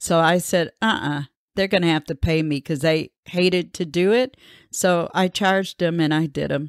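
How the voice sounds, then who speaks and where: On a very clean recording with a silent background, a woman with an American accent and a fairly low pitch talks at a moderate pace in a plain, everyday voice. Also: ordinary pitch variation, dry, close sound with no echo. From US Midwest, Grand Rapids, Michigan. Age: 60s. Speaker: university researcher. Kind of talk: oral history interview.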